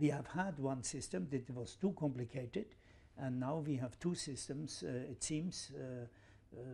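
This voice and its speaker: A man speaks in a dark, mellow, somewhat breathy voice. His pitch is medium and his pace moderate. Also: ordinary pitch variation. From Switzerland. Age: 70s. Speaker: football administrator. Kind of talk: interview answer. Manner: hesitant, many fillers.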